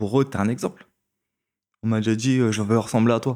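On a very clean recording with a silent background, a man of medium pitch speaks at a moderate pace in a dark, mellow tone. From France, Créteil (Paris suburbs). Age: 20s. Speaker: former pro swimmer and swim coach. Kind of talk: casual chat. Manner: direct.

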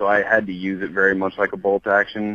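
A man with an American accent has a very deep, low pitch. His voice sounds dry and close, with no echo. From Montana. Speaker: hunter and diesel shop owner. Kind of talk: casual chat. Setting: in a parked truck.

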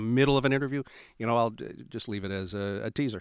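A man speaks at a very fast pace with ordinary pitch variation. The sound is dry and close with no echo, in a very clean recording with a silent background. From Nova Scotia, Canada. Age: 50s. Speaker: radio talk show host. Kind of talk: casual interview chat. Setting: studio.

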